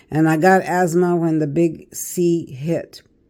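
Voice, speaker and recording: With a very deep, low pitch and a dark, mellow tone, a woman speaks with fairly even intonation. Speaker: tarot card reader. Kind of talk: casual monologue. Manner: hesitant, with fillers.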